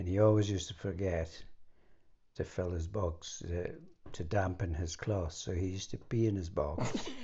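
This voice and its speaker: With a northeastern Scottish accent, a man speaks at a moderate pace in a very deep, low, somewhat breathy voice with fairly even intonation. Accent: Scottish, north east. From Morayshire, north east Scotland. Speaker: former spy. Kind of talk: conversational memoir interview.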